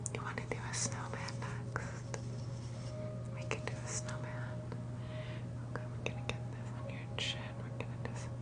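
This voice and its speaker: At a moderate pace, a woman talks with long, frequent pauses. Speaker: ASMR creator. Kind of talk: ASMR role play. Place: home room. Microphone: earbuds.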